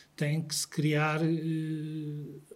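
In a European Portuguese accent, a man talks at a fairly high pitch. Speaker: patient association president. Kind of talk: interview.

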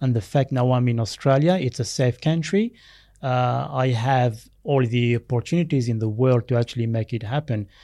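Dry and close with no echo, a man's dark, mellow voice holds very even loudness at a moderate pace with ordinary pitch variation. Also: medium pitch for a man, quiet background. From Algeria, Berber village; schooled partly in France. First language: Berber (also French, Arabic). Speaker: former Olympic runner, athletics coach. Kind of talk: interview. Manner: hesitant, many fillers.

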